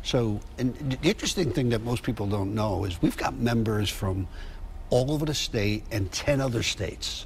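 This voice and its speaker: With an American accent, a man talks at a moderate pace. His voice is somewhat breathy. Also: medium pitch for a man, ordinary pitch variation. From Connecticut, New Haven. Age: 70s. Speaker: chamber of commerce president. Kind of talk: TV news interview. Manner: conversational, hesitant with fillers.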